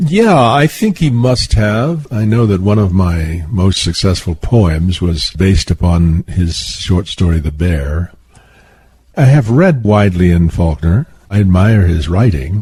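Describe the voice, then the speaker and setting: A man's very deep, low voice with a dark, mellow tone, somewhat breathy, in an American accent, at a fairly slow pace and very even loudness. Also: lively intonation. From Southwestern United States. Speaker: author and poet. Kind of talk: interview answer.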